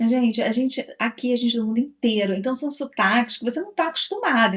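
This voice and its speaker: Noticeable background noise sits behind a woman with a fairly high pitch. She talks at a very fast pace. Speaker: travel vlogger. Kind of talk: casual chat.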